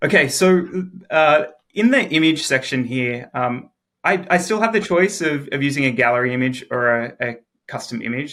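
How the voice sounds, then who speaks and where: A man with an Australian accent, a bright, sharp tone, lively intonation, and a moderate pace. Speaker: software engineer. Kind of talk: tutorial.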